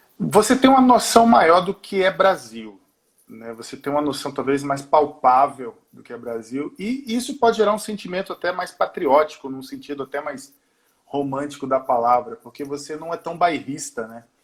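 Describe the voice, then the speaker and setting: The voice moves at a moderate pace, with very wide pitch swings and big swings in loudness. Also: man, fairly high pitch for a man. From Brazil, mixed (Pernambuco, Manaus, Porto Alegre). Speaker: singer and musician. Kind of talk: interview. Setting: remote call from home.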